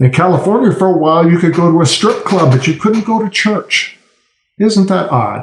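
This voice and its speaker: A man speaks in a high pitch, with ordinary pitch variation and very even loudness. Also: moderate pace. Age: 60s. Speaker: political cartoonist. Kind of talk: podcast interview.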